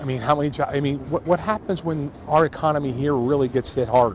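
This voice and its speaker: A man talks at a fairly high pitch with ordinary pitch variation. Noticeable background noise sits behind him. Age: 60s. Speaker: renter interviewed. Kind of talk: news interview. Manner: halting.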